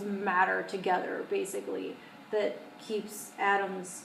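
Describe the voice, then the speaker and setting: A woman speaks at a very slow pace. Audible room echo and noticeable background noise fill the recording. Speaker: tarot reader. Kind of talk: tarot reading to camera. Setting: studio.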